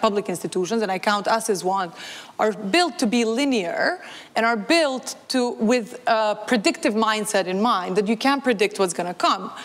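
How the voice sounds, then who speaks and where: With noticeable background noise, a woman speaks at a moderate pace, her fairly high voice carrying lively intonation. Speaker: development organization expert. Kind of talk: panel talk. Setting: stage with audience. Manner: loud; animated.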